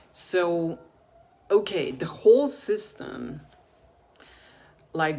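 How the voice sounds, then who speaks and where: Very slowly, a woman talks with a non-native accent. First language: not English. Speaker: video blogger on alternative health. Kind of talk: casual monologue to camera. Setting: in front of a camera. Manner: halting, many fillers.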